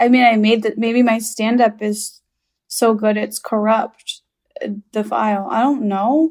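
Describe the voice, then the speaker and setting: A woman with an American accent and a normal speaking voice speaks at a fairly high pitch, keeping a fairly even intonation and a fairly slow pace. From Chicago, US Midwest. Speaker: stand-up comedian. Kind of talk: casual chat.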